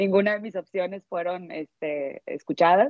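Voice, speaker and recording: A woman's fairly low voice, a plain, everyday voice, at a moderate pace with ordinary pitch variation. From Mexico, Monterrey, Nuevo León. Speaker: relocated employee. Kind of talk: casual chat.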